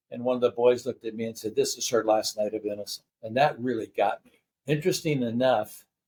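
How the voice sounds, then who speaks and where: Very fast man's speech at a medium pitch, with fairly even intonation and big swings in loudness. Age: 80s+. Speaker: nonprofit founder and former real estate executive. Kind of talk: interview. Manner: halting, with repeated words.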